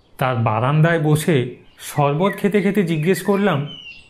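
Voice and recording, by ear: Lively intonation marks this man's speech. He uses a fairly high pitch at a moderate pace.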